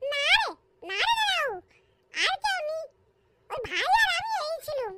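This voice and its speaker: This cartoonish character voice is extremely high and squeaky, moving at a moderate pace. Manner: childish, rustic.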